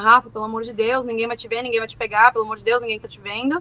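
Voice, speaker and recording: Her voice is bright and sharp, fairly high for a woman, with monotone, flat intonation. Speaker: war survivor. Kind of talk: testimony.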